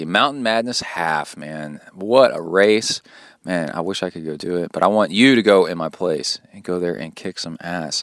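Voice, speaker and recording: A man's put-on character voice in a Southern US accent, raspy and very deep, at a moderate pace. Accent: Southern US regional. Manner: encouraging, enthusiastic, casual.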